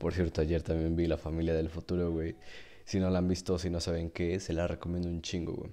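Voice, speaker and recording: A man with a Mexican accent, a very deep, low pitch and a dark, mellow tone, monotone and flat, at a fairly quick pace over a quiet background. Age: 20s. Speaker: podcaster and streamer. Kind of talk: casual monologue.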